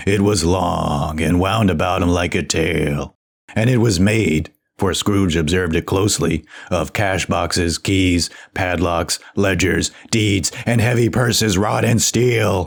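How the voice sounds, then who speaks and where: Very deep, low pitch in a man's put-on character voice, delivered fairly slowly. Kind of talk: audiobook reading of classic literature.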